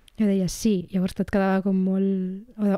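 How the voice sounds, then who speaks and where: At a moderate pace, a woman talks in a dark, mellow tone with flat, monotone intonation. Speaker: writer and podcaster. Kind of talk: casual chat.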